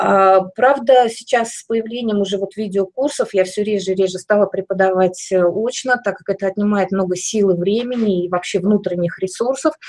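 A woman with an unremarkable speaking voice, medium pitch, ordinary pitch variation and a moderate pace. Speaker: felting craft teacher. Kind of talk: online master class. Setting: video call live stream. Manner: gentle, explanatory, diminutives.

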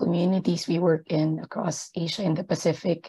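A woman with a dark, mellow, somewhat breathy tone, fairly low pitch, fairly even intonation and moderate pace over a quiet background. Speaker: gender equality advisor at an aid organisation; panelist. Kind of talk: webinar presentation. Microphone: video call.

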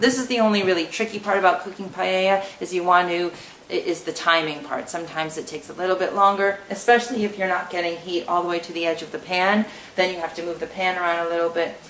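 A woman talks at a very fast pace with fairly even intonation, light background noise and audible room echo. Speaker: home cook host. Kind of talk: tutorial. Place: kitchen.

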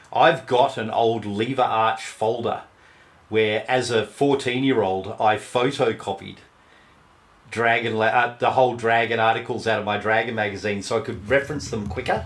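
A man talks with an Australian accent. His intonation is fairly even. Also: medium pitch for a man, moderate pace. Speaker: game master and podcast co-host. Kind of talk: casual chat.

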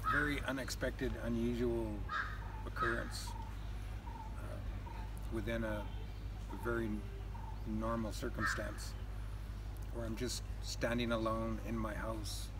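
Fairly slow pace with long, frequent pauses over loud background noise. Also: man. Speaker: spiritual teacher interviewee. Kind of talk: interview answer. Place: open country.

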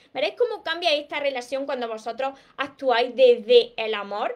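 A woman speaks at a moderate pace in a high voice with a strong Andalusian accent. Her pitch varies in an ordinary way, and the background is quiet. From Andalusia, Spain. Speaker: relationship coach. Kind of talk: live stream talk. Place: home room. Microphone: webcam.

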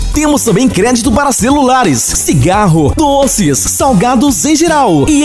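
Clear music plays behind a man speaking at a fairly slow pace. His pitch is extremely high, with very wide swings. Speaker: advertising voice-over announcer. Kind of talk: radio commercial read. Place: studio. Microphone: studio mic.

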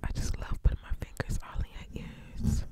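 A woman's breathy whispering at a fairly quick pace. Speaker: ASMR creator. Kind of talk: soft ASMR personal attention talk. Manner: breathy close-mic whisper. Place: home room. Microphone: studio mic.

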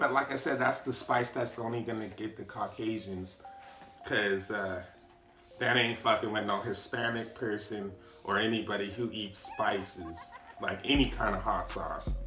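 A man talks with fairly even intonation, his voice carrying audible room echo over faint background music. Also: moderate pace. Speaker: food reviewer. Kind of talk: casual vlog chat. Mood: relaxed, joking. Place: home room. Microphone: camera far.

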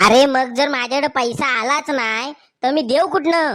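A woman performs a cartoonish character voice at a high pitch. The recording is very clean with a silent background. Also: moderate pace, ordinary pitch variation. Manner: cheeky, evasive, twisting logic.

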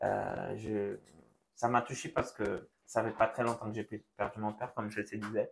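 Fairly slow and flat in a monotone, a man speaks with a fairly low pitch and vocal fry, with light background noise behind him. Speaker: church youth podcast host. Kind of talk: casual chat. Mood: emotional, talking about loss. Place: studio. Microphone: lapel.

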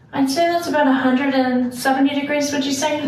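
A woman speaks at a fairly slow pace in a high voice. Audible room echo and light background noise surround her. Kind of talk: demonstration tutorial. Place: home room. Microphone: camera far.

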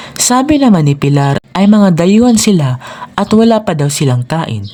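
The tone is calm and the pace fairly slow. Noticeable background noise is present. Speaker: storyteller. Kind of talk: children's bedtime storytelling, scripted narration. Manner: calm, even, measured narration.

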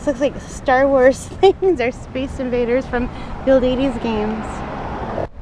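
Speaking very slowly, a woman with a high pitch comes through with a dry sound with no echo and noticeable background noise. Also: ordinary pitch variation. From Ontario, Canada. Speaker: vlogger. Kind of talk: casual vlog narration. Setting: outdoors. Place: bicycle.

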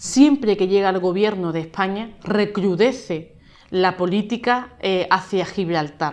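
In a normal speaking voice, a woman talks at a fairly slow pace with ordinary pitch variation. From La Línea de la Concepción, Andalusia, Spain; Andalusia, Spain. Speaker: mayor and politician; mayor, politician. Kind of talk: interview. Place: office.

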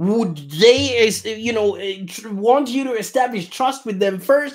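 A man at a fairly slow pace with ordinary pitch variation, against a quiet background. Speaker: digital marketing agency founder. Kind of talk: live-streamed business talk. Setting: live stream video, in Australia. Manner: casual, many filler words. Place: office. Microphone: studio mic.

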